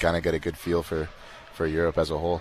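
A man speaks at a fairly quick pace with a very deep, low pitch. Noticeable background noise runs underneath. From Canada, Winnipeg. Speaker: professional basketball player. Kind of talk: interview. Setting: live event venue.

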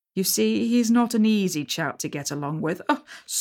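Lively intonation in a plain read-aloud delivery

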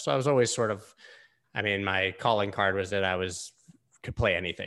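With an American accent, a man talks in a bright, sharp tone. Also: very clean recording, silent background. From US, Florida (Gainesville). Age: 40s. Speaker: crypto podcaster and former DJ. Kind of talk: casual chat.

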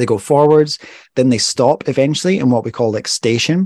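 At a fairly quick pace, a man with a plain, everyday voice uses lively intonation, heard dry and close with no echo. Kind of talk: casual chat. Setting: video call. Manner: joking, punny.

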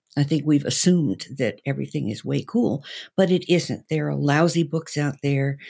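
A woman speaks with a very deep, low pitch, a dark, mellow tone and vocal fry at a moderate pace with ordinary pitch variation. The recording is very clean with a silent background. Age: 70s. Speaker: sex educator and counselor. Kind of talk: panel debate.

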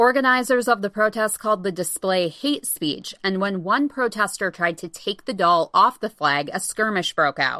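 A woman with an ordinary speaking voice talks at a moderate pace and medium pitch, with lively intonation. She leaves hardly any pauses, and the sound is dry and close with no echo. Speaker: news host. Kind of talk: news reading. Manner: formal; steady, even.

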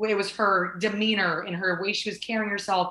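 Medium-pitched woman with an American accent, over noticeable background noise. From Southern California. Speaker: softball coach and former college athlete. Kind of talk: interview. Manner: animated.

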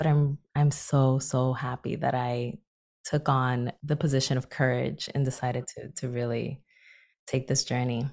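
At a fairly slow pace, a woman speaks in a very deep, low pitch with monotone, flat intonation. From Dominican Republic. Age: 30s. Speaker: psychologist. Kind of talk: interview.

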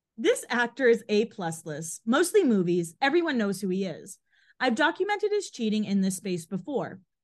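The voice is somewhat breathy, with very wide pitch swings and a moderate pace. The background is quiet. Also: woman, fairly high pitch for a woman. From Boston area, Massachusetts. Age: 30s. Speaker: podcast co-host. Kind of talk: reading aloud; casual chat.

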